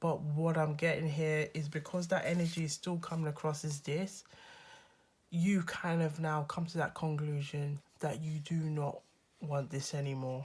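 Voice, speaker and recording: At a moderate pace, a woman talks in a very deep, low, somewhat breathy voice. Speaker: tarot reader. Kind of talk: casual tarot reading to camera. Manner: friendly, upbeat.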